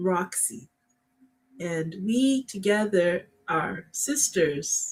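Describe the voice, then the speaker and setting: A woman talks at a very slow pace, her pitch swinging very widely. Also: medium pitch for a woman. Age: 60s. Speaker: podcast co-host. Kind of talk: casual chat. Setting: livestream.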